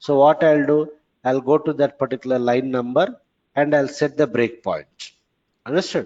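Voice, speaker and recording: A man with a fairly high pitch and ordinary pitch variation. He has an ordinary speaking voice. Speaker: programming trainer. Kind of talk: lecture. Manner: repetitive.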